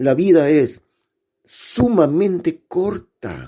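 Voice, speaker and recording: A man speaks in a dark, mellow tone. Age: 60s. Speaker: pastor. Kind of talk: sermon.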